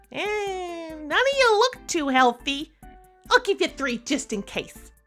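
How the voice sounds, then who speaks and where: Faint music plays in the background as a put-on character voice at an extremely high pitch moves at a fairly slow pace with very wide pitch swings. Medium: audio drama. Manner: dry, sarcastic.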